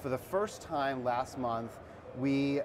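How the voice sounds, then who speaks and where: A man's voice over noticeable background noise. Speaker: guest. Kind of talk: interview answer. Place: studio. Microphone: lapel.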